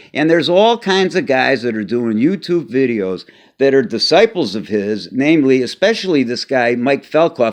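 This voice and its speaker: Against a quiet background, a man with an American accent talks at a moderate pace with lively intonation. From Chicago. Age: 60s. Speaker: former martial artist. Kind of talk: casual talk to camera. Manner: hesitant, many filler words.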